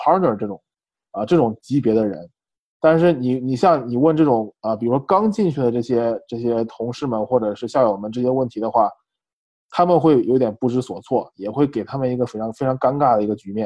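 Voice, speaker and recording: With a plain, everyday voice, a man of medium pitch talks at a fairly quick pace with ordinary pitch variation. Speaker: MBA student. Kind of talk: casual interview.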